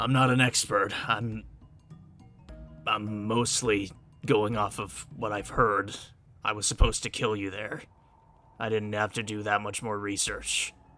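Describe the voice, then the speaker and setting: Putting on a raspy character voice, a man speaks fairly low and monotone at a moderate pace with long, frequent pauses, music playing in the background. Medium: actual play. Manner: hesitant, stammering, defensive.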